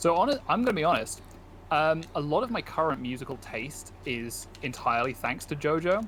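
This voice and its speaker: With a British accent, a man speaks at a fairly high pitch and a moderate pace, his voice making very wide pitch swings. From Britain. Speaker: video game streamer. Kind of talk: casual chat while gaming.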